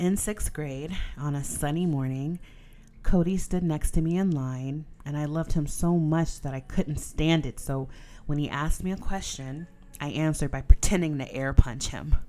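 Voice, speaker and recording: Woman's very deep, low voice, dark and mellow in tone, with fairly even intonation. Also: moderate pace, big swings in loudness. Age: 30s. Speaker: podcast host. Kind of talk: casual chat, solo monologue.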